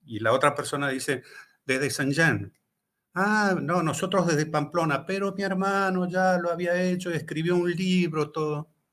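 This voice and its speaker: A man speaks at a fairly slow pace with an Argentine accent, his pitch high. His pitch varies in an ordinary way, and the recording is very clean with a silent background. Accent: Rioplatense Argentine Spanish. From Argentina. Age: 60s. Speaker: author and pilgrim. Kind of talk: casual chat. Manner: animated.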